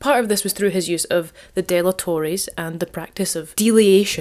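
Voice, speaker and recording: This very clean recording has a silent background. On it a woman with a Scottish accent speaks at a fairly low pitch. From Scotland. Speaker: archaeologist. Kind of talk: casual history talk to camera. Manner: informal, humorous.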